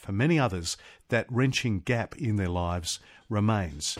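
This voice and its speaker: With an Australian accent and lively intonation, the speaker talks at a moderate pace on a very clean recording with a silent background. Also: man. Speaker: radio host and TV news presenter. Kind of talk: interview.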